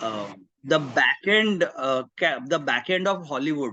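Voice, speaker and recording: With an Indian accent, this man talks in a bright, sharp tone at a fairly high pitch, his intonation lively. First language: Marathi. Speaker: career mentor. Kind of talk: webinar talk. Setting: video call. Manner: animated.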